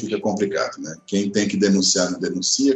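A man with a plain, everyday voice talks at a fairly quick pace. His pitch varies in an ordinary way. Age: 50s. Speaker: public spending watchdog. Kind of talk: podcast interview.

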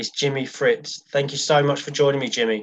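A man speaks in a plain, everyday voice. His pitch is fairly high, and his pace is moderate. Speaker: podcast host. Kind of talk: interview.

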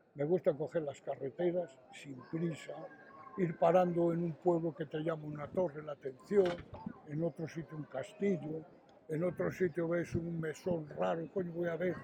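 Noticeable background noise surrounds the man, whose high voice keeps a fairly even intonation. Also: moderate pace. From Spain, Astorga (León). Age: 70s. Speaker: tapestry artisan. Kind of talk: interview.

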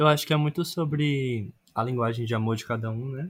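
A man speaks at a medium pitch in a somewhat breathy voice. The recording is very clean, with a silent background. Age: 20s. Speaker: architecture student, podcast guest. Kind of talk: casual chat.

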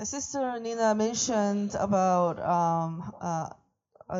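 This is a woman speaking. She has a Korean accent. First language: Korean (speaking Vietnamese). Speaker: visiting preacher. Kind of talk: sermon via interpreter. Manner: halting.

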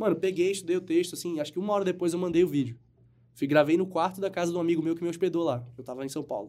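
A man talks at a very fast pace in a high pitch. His tone is dark and mellow, with ordinary pitch variation. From Brazil, Manaus. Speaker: actor. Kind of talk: casual chat.

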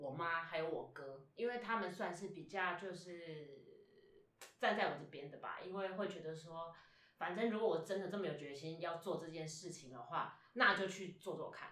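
Against noticeable background noise and audible room echo, a woman with a fairly low pitch speaks at a moderate pace, with ordinary pitch variation and big swings in loudness. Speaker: stage actor. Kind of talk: interview. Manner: casual, hesitant with fillers.

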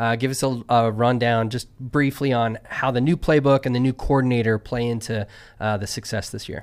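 Over a very clean recording with a silent background, an unremarkable speaking voice moves at a moderate pace with fairly even intonation. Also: man, medium pitch for a man. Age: 40s. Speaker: college football show host. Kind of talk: casual chat.

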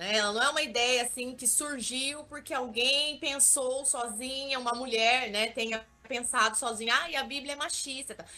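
The bright, sharp voice is raised and projected, moving at a moderate pace with fairly even intonation and hardly any pauses. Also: woman, high pitch for a woman. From interior of São Paulo state, Brazil (Vale do Ribeira). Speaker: digital influencer. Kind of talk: interview.

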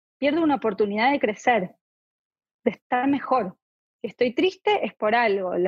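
A woman's high voice at a moderate pace, lively in intonation, with a dry, close sound, no echo, and a quiet background. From Argentina. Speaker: clinical psychologist. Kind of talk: interview.

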